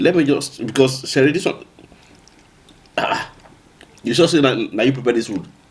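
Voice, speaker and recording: Over noticeable background noise, a man of medium pitch talks at a fairly quick pace with ordinary pitch variation and long, frequent pauses. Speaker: couple channel vlogger. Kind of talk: casual chat, eating show. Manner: animated.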